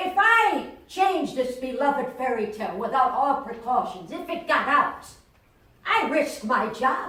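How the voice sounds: A woman does a put-on character voice, high in pitch with big pitch swings. The tone is bright and sharp, with strong room echo. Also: fairly slow pace.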